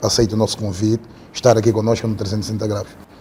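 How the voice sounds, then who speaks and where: This man speaks with a dark, mellow tone. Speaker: podcast host. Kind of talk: interview.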